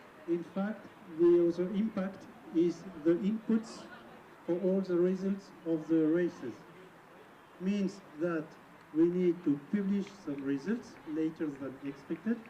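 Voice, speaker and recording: Speaking with a French accent, the voice moves at a fairly slow pace, broken by long, frequent pauses. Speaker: event announcer. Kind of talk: PA announcement.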